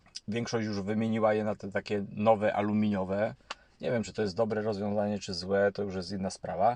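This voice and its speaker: Against a quiet background, a man speaks at a fairly quick pace. His intonation is monotone and flat. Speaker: YouTube channel host on housing and property. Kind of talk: monologue commentary to camera. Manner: halting with frequent fillers and repetitions.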